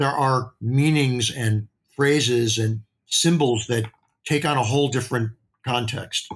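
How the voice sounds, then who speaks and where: A man with an American accent speaks at a moderate pace in a medium pitch. His voice is somewhat breathy, with fairly even intonation. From US Midwest. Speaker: beauty industry executive. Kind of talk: interview.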